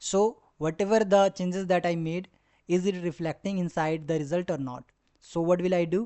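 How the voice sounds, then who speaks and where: Spoken at a moderate pace with a non-native accent. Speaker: data science tutor. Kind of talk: tutorial. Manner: halting, with fillers.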